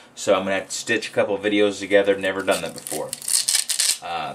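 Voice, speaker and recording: A man talks in a fairly low pitch. There is noticeable background noise behind him. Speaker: gun owner showing a car holster mount. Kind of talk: casual product install video. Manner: hesitant, some stammering.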